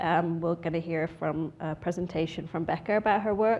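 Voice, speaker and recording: A woman speaks in an American accent. Her pitch variation is ordinary. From England, London. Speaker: panel moderator, housing policy think tank director. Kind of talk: panel introductions.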